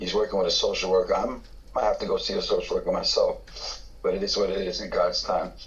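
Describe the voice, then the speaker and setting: Talking at a very fast pace, this man is heard over noticeable background noise. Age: 60s. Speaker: recovering addict sharing at meeting. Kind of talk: testimony.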